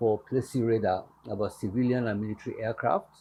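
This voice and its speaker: Somewhat breathy, a man talks at a medium pitch. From Nigeria, Lagos. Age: 80s+. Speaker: pastor. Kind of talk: interview.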